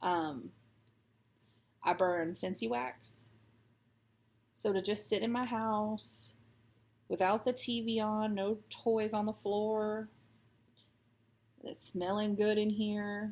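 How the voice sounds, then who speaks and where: Woman at a medium pitch with fairly even intonation, a very slow pace and long, frequent pauses, on a very clean recording with a silent background. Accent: American. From Texas. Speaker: cross stitch vlogger. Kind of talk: casual chat while stitching. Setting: at home.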